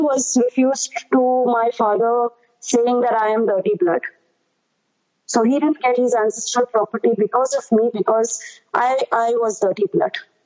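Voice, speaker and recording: This woman's high-pitched voice moves at a moderate pace with ordinary pitch variation and very even loudness. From India, partly raised abroad. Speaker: adoptee sharing her story. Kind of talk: testimony. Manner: halting.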